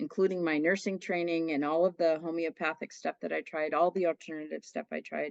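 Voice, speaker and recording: An ordinary speaking voice, a woman's, moves at a fairly quick pace with hardly any pauses, fairly even intonation and a fairly low pitch in a dry, close sound with no echo. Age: 60s. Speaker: nurse, coaching client. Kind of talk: interview testimony. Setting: podcast.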